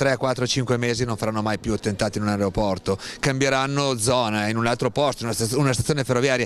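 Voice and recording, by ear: Faint background noise sits behind a man speaking at medium pitch with fairly even intonation.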